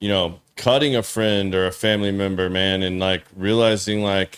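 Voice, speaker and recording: With an ordinary speaking voice, a man talks at a moderate pace, his fairly low pitch held in fairly even intonation. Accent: American. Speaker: podcast host. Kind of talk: casual chat.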